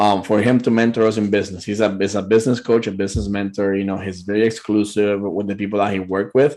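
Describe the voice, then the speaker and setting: A man with a Puerto Rican accent talks in a fairly low pitch against a quiet background. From Puerto Rico. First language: Spanish. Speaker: business owner, show guest. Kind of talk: interview; promotional offer.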